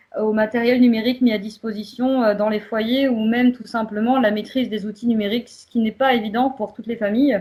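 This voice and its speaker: Intonation stays monotone and flat. There is a somewhat breathy quality to the voice. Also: woman. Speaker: community association worker. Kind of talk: prepared presentation.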